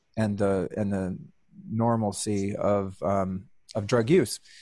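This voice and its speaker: In a very clean recording with a silent background, a man with an American accent speaks at a fairly slow pace. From Northern California. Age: 50s. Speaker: motivational speaker and podcaster. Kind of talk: podcast interview.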